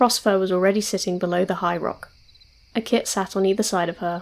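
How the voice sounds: The voice reads naturally. Its pitch stays mostly level.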